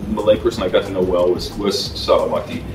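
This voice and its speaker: Music plays in the background. Over it, a man talks at a very fast pace. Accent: American. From United States. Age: 50s. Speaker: film director and voice-over artist. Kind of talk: interview. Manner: halting, many repetitions.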